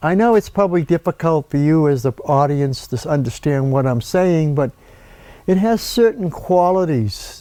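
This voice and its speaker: Lively intonation from a man pitched high. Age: 70s. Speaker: painter. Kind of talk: casual art talk to camera. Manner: halting, self-correcting.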